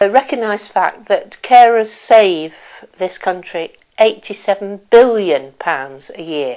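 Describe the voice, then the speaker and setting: A woman with a medium pitch and a dark, mellow tone speaks at a very slow pace with hardly any pauses. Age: 50s. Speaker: family carer. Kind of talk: interview testimony. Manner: hesitant, with fillers.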